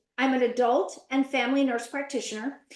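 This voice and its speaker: A woman's high-pitched voice comes out at a fairly quick pace. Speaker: nurse practitioner. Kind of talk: webinar conversation.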